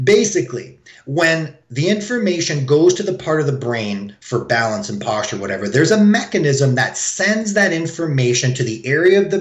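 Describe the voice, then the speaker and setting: A man talks at a moderate pace, his pitch swinging very widely. Noticeable background noise runs behind him. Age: 40s. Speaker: chiropractor. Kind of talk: interview.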